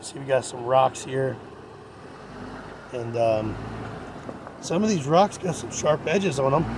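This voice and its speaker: Against noticeable background noise, a man with a medium pitch talks at a fairly slow pace in a relaxed tone. His intonation is lively, broken up by long, frequent pauses. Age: 40s. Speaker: off-road driving vlogger. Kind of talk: casual trail narration. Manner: relaxed, conversational with fillers.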